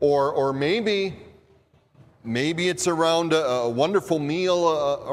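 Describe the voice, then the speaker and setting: Noticeable background noise surrounds the recording. A man with a Minnesota accent speaks with lively intonation. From US Midwest. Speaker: pastor. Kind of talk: sermon. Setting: church.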